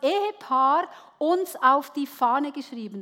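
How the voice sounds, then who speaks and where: A woman talks at a very slow pace in a raised, projected voice. Her pitch is high and her intonation lively. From Switzerland. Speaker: preacher. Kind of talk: sermon. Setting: church with audience.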